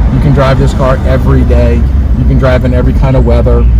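A man's voice, dry with no echo. Loud noise fills the background. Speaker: car salesman. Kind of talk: sales walkaround commentary. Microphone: phone near.

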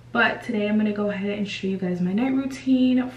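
A woman is speaking. There is audible room echo and light background noise. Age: 20s. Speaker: beauty vlogger. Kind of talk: casual talk to camera. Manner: friendly, conversational. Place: bathroom. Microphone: phone near.

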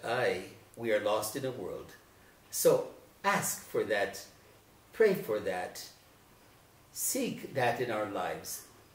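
A man is speaking. Audible room echo can be heard. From northern New Mexico (Arroyo Seco, Taos area); New Mexico. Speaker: retired educator; interviewee. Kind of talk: interview. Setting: at his home. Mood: reflective, philosophical. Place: home room.

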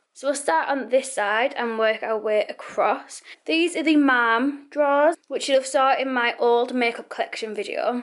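At a moderate pace with hardly any pauses, a woman speaks in a high pitch with ordinary pitch variation over a quiet background. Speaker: beauty vlogger. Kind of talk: casual vlog chat. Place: home room. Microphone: phone near.

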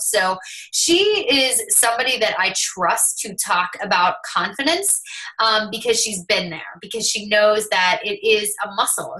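A woman is talking against a quiet background. Her pitch varies in an ordinary way. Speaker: team coach hosting call. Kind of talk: casual team call talk. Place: home room. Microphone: webcam.

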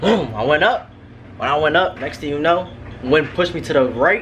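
There is light background noise behind this man. He talks at a moderate pace. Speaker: vlogger. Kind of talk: casual vlog chat. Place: home room. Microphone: phone near.

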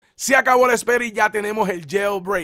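A man's high, bright, sharp voice with fairly even intonation and a dry, close sound with no echo. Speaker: tech YouTuber. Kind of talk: tutorial.

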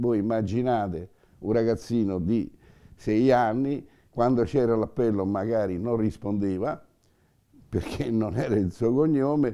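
The voice has a dark, mellow tone with ordinary pitch variation. The background is quiet. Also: man. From Rome, Italy; Italy. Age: 80s+. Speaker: Holocaust survivor and witness; witness. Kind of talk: testimony. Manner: halting, with repetitions. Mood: earnest, animated storytelling. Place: home room.

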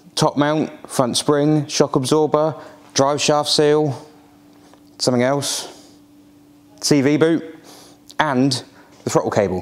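A man is speaking. His pace is moderate. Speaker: channel host. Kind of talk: casual vlog chat. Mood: wry, self-deprecating. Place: workshop. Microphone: lapel.

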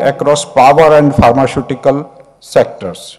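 At a fairly slow pace, a man talks against a quiet background. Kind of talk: formal speech. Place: hall. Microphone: podium.

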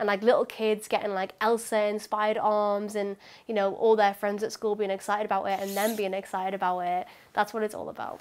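Spoken at a fairly quick pace, the voice stays monotone with flat intonation. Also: woman. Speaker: interviewee. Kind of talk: interview answer. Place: home room.

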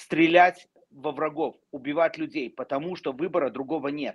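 Over a quiet background, a man speaks with a high pitch and fairly even intonation. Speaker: talk show panelist; talk show guest. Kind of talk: live political discussion. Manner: emotional. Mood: emotional, indignant. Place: home room. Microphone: video call.

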